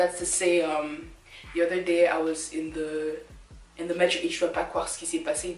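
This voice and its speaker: Over noticeable background noise, a woman speaks in a fairly low pitch with monotone, flat intonation. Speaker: vlogger. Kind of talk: casual talk to camera.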